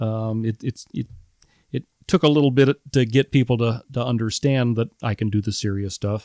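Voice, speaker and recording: A man with a Midwestern American accent and fairly low pitch, at a moderate pace with fairly even intonation, in a very clean recording with a silent background and a dry, close sound with no echo. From central Illinois (Metamora). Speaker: retired high school band director. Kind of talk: casual interview.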